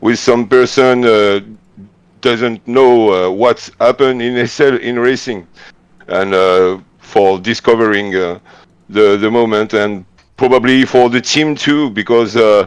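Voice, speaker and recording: A man with a French accent talks at a fairly slow pace. His pitch is medium and his intonation fairly even. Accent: French accent, non-native English. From France. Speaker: racing team organizer. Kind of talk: live commentary. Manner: halting, many hesitations.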